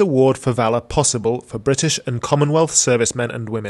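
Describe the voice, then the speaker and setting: The speaker has an unremarkable speaking voice with ordinary pitch variation. The pace is fairly quick. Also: man. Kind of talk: history documentary narration. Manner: formal, measured and even, reads factual dates and names in a steady, authoritative tone.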